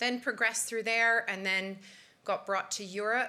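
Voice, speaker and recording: A woman speaks with a Canadian accent. Her tone is bright and sharp. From Canada. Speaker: pharmaceutical industry professional. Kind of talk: career talk to an audience. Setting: stage with audience.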